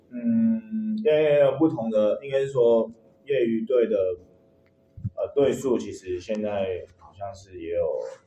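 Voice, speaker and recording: A man speaks very slowly in a fairly high voice with very wide pitch swings and big swings in loudness. Long, frequent pauses break up his speech over noticeable background noise. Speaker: baseball strength coach. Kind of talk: interview. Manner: halting, many fillers.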